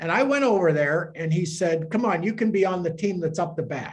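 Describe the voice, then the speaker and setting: A man is speaking. His pace is moderate. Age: 70s. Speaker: priest. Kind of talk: informal talk to a group. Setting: room with a gathering. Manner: halting.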